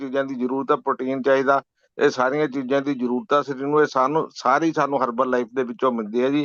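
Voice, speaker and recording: A man's medium-pitched, monotone, flat delivery in a dry, close sound with no echo over a quiet background. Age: 70s. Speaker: program participant. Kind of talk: testimony. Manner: halting.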